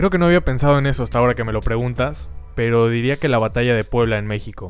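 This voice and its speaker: The delivery moves at a fairly quick pace. Pitch varies in an ordinary way. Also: man. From Mexico and Argentina. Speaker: history YouTuber. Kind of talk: Q&A video narration. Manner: scripted, clear.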